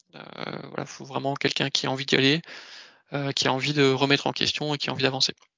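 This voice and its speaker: A man with a fairly high pitch talks very fast in a monotone, flat delivery broken by long, frequent pauses. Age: 30s. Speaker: ERP consultant. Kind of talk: career presentation. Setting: video call.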